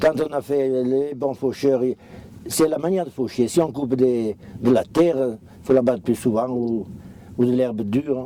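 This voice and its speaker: A man with a dark, mellow tone talks at a fairly slow pace, keeping a medium pitch and ordinary pitch variation. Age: 70s. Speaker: farmer. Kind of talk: interview. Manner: halting.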